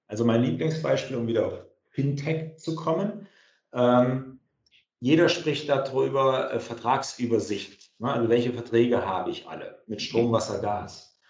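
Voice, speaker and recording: With vocal fry and lively intonation, a man at medium pitch speaks at a fairly slow pace in a room with audible echo. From Germany, Kassel (northern Hesse). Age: 40s. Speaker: entrepreneur. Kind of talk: interview.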